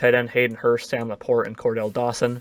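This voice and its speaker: This voice belongs to a man. He talks at a fairly quick pace. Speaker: gaming YouTuber. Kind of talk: gameplay commentary. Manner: fast; casual.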